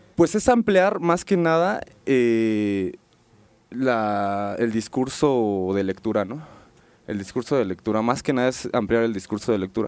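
Speaking at a fairly slow pace, a man with an unremarkable speaking voice uses lively intonation. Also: medium pitch for a man. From Mexico City. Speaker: graffiti artist and illustrator. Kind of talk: casual interview. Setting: radio studio booth.

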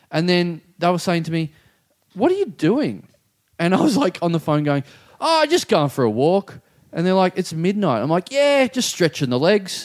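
This man talks at a moderate pace in an Australian accent, with a high pitch and very wide pitch swings. The sound is dry and close, with no echo. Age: 30s. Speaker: comedian podcast co-host. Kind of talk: casual chat. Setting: studio.

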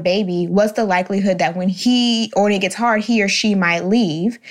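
With an American accent, a woman in an unremarkable speaking voice speaks at medium pitch and a moderate pace, her pitch varying in an ordinary way. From Jacksonville, Florida. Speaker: podcast co-host, social coordinator. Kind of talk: casual roundtable chat.

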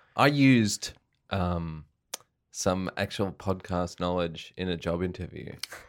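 A man talks in a very deep, low voice with an Australian accent. His pace is fairly slow with ordinary pitch variation, and the recording is very clean with a silent background. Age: 30s. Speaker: improviser and comedian. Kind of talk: casual chat.

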